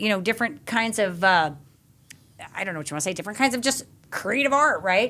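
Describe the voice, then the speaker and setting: A woman speaks in an animated tone that is bright and sharp. The recording is very clean, with a silent background. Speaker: podcast host. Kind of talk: casual chat. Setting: in-person studio recording. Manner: fast.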